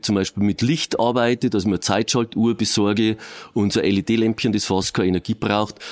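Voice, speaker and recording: Against a quiet background, a man's voice is heard. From Regensburg, Bavaria; Bavaria. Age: 50s. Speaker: police crime prevention officer. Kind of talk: interview. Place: studio.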